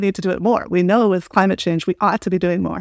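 A woman on a very clean recording with a silent background, the sound dry and close with no echo. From US Midwest, small-town Illinois. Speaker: professor. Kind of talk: interview conversation.

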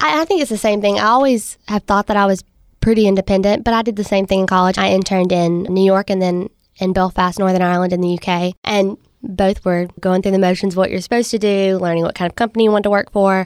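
This woman talks at a very fast pace. She has a Southern US accent and fairly even intonation. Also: medium pitch for a woman, very even loudness, dry, close sound with no echo. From US South, Mississippi. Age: 20s. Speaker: startup co-founder. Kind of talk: interview.

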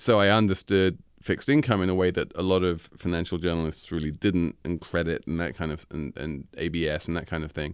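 A man with an English accent talks at a fairly quick pace with hardly any pauses. His pitch is very deep and low, and the background is quiet. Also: ordinary pitch variation. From England. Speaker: financial journalist, senior editor. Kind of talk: interview.

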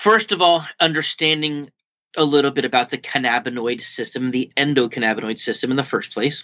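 Fairly quick speech comes from a man with a normal speaking voice. His pitch is fairly high, with ordinary variation. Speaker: doctor. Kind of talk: casual interview.

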